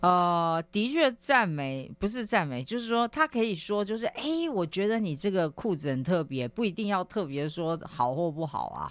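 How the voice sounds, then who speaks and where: With hardly any pauses, the speaker keeps an animated tone at a moderate pace. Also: very clean recording, silent background. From Taiwan. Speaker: business magazine editor. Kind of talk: radio interview. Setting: radio studio.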